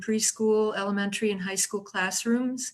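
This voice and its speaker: A woman speaks at a moderate pace in a fairly high pitch, her intonation monotone and flat. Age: 60s. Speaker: retired teacher and home care worker. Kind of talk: prepared question.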